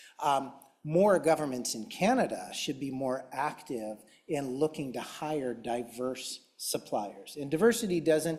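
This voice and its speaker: The speaker talks with a Chicago accent and ordinary pitch variation. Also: man. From US Midwest, Chicago. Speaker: tech company executive, conference panelist. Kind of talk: conference panel presentation.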